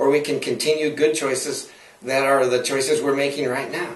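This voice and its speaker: Against noticeable background noise, a man with a fairly high pitch talks at a moderate pace. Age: 60s. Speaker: health and longevity speaker. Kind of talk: interview answer.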